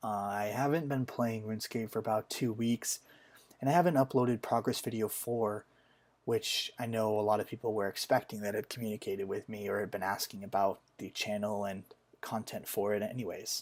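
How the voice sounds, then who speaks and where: Heard on a very clean recording with a silent background, a man with a normal speaking voice talks fairly quickly at a fairly low pitch with fairly even intonation. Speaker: software engineer. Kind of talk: casual gaming commentary.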